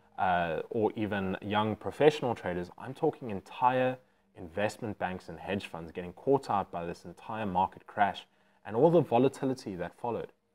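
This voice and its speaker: A man talks at a moderate pace with ordinary pitch variation in an ordinary speaking voice. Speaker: educator. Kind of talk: casual vlog chat. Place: home room. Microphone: lapel.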